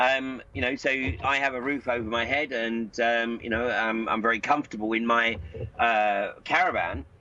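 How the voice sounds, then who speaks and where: At a moderate pace, a man talks in an ordinary speaking voice of medium pitch with ordinary pitch variation. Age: 60s. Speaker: political commentator. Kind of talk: interview. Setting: Skype call.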